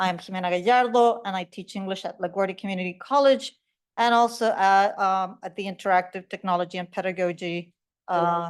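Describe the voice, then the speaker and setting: A woman at medium pitch with fairly even intonation, speaking at a fairly quick pace over a quiet background. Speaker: college English teacher. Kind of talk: conference panel presentation. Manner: loud.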